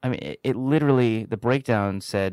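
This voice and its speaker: In a very clean recording with a silent background, a man with an American accent speaks at a medium pitch and a moderate pace. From New York City, Lower East Side. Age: 20s. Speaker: actor. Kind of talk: casual chat.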